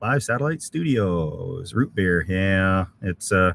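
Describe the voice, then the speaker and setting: Speaking very slowly, a man with a Canadian accent swings his pitch very widely. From Canada, Alberta (Edmonton). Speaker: camping YouTuber. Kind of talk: live stream chat reading comments. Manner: casual, halting with many fillers.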